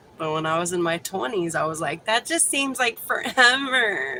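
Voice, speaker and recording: Someone speaks with an American accent and an animated tone. There is noticeable background noise. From Texas. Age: 40s. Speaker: livestreamer. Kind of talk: casual chat.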